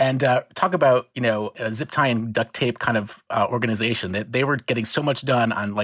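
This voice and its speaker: A man with an American accent talks at a medium pitch with ordinary pitch variation. His pace is fairly quick, with hardly any pauses. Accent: own accent, US. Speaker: marine biologist. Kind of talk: interview. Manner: fast when excited; animated.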